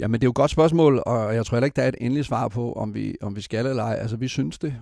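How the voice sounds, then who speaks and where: A man at a very fast pace, medium in pitch with ordinary pitch variation and a dark, mellow tone. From West Jutland, Denmark. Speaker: space company CEO. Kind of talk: interview. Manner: halting.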